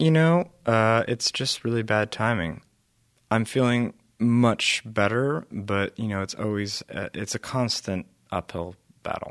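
On a very clean recording with a silent background and a dry, close sound with no echo, a man speaks at a fairly slow pace. He has an ordinary speaking voice, a medium pitch and ordinary pitch variation. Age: 20s. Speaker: musician, band frontman. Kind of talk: interview. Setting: studio.

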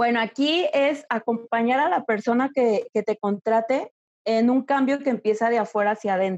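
A woman speaks with a normal speaking voice, fairly high in pitch, with ordinary pitch variation. Her pace is moderate and her loudness very even. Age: 30s. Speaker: image consultant. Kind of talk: interview.

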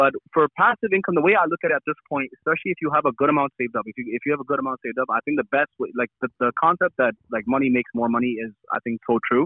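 Barely pausing at all, a man rattles along at a very fast pace in a fairly high voice. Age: 20s. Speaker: young entrepreneur running a car rental side business. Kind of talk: casual interview.

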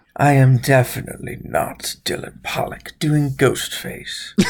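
This is a put-on character voice. It moves at a fairly slow pace. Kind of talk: horror-movie parody. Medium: game stream. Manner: menacing, slow, theatrical.

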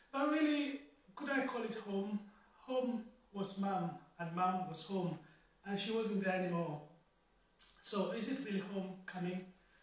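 With long, frequent pauses, a man speaks at a high pitch and a fairly slow pace amid noticeable background noise and audible room echo. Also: ordinary pitch variation. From Kenya. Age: 40s. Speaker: preacher. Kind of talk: sermon.

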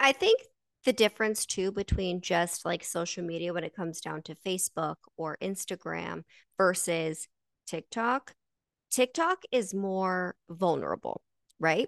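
A woman's unremarkable speaking voice, medium-pitched, with ordinary pitch variation and a fairly slow pace, in dry, close sound with no echo against a quiet background. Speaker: podcast host. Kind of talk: casual chat. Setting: livestream.

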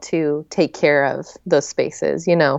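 A woman has a normal speaking voice and an American accent. She talks at a fairly slow pace with fairly even intonation. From US Southwest and Midwest (New Mexico, Oklahoma, Joplin Missouri). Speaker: author. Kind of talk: casual interview chat.

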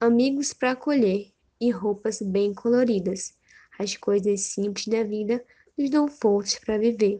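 A woman speaks with a fairly high pitch at a fairly slow pace. Her tone is warm, dark and mellow, with ordinary pitch variation. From Brazil, Manaus (Amazonas). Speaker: podcast host. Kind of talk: casual chat; poetry reading aloud.

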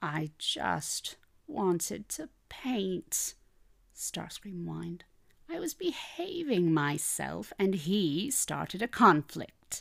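A put-on character voice, female-sounding and whiny, at a medium pitch for a woman. It moves at a very slow pace. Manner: whining, complaining.

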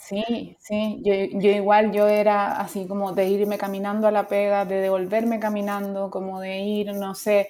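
Against noticeable background noise, a woman talks fairly slowly with hardly any pauses and a flat, monotone intonation. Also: medium pitch for a woman. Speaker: UX designer. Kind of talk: casual chat. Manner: halting.

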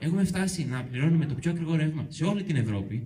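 Fairly high in pitch, a man's voice has a dark, mellow tone and lively intonation. He talks at a fairly quick pace with audible room echo. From Euboea, Greece. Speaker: local resident activist. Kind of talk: public talk. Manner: halting.

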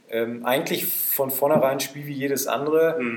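Fairly slow speech from a man at a medium pitch. Audible room echo and noticeable background noise surround him. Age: 20s. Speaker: football referee. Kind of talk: casual chat. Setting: in a pavilion at the club grounds.

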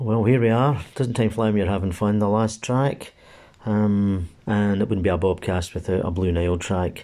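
A man with a Glaswegian accent, fairly low in pitch with a dark, mellow tone, ordinary pitch variation and a moderate pace, on a very clean recording with a silent background. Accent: Glaswegian Scottish. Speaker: amateur music podcast host. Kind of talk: casual music show links. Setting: recording at home during lockdown.

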